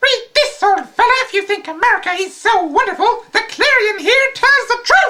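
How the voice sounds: Pitched extremely high, a put-on character voice runs at a moderate pace with hardly any pauses.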